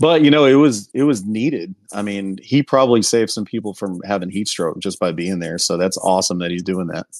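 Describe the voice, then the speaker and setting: In an American accent, a plain, everyday voice moves at a fairly quick pace with lively intonation and hardly any pauses. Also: man, fairly low pitch for a man. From Houston, Texas. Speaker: sportswear company owner. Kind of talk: casual interview. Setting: online call.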